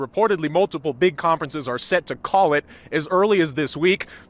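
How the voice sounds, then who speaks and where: Lively intonation marks this man's high-pitched voice as he talks at a fairly quick pace. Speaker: sports anchor and reporter. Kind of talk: TV sports reporting montage.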